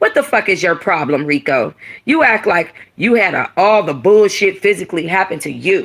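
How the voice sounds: In a put-on character voice, a woman swings her pitch widely around a fairly low base, her fairly bright tone carrying a slightly husky edge at a moderate pace.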